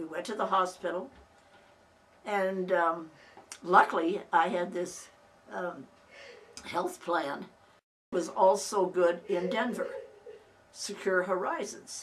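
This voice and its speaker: A woman speaks at a very slow pace with long, frequent pauses, a medium pitch and fairly even intonation, with audible room echo. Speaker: family oral history narrator. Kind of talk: personal reminiscence. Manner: halting, with many restarts.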